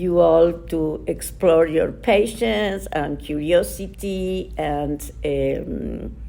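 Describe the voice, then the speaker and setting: This woman speaks with an Argentine accent. Her pace is very slow. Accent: Argentine Spanish accent, noticeable. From Argentina. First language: Spanish. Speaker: nonprofit director. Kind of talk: interview. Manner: halting, many fillers.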